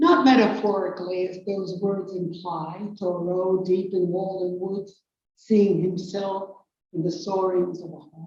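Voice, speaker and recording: A woman with a New York accent at a medium pitch, fairly slow and monotone, with big swings in loudness and audible room echo. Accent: noticeable New York. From New York City. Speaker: poet. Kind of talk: poetry reading.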